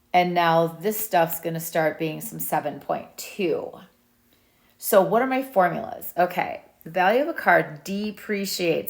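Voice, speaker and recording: In an unremarkable speaking voice, a woman talks at medium pitch. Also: very clean recording, silent background. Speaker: math teacher. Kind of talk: tutorial. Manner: casual.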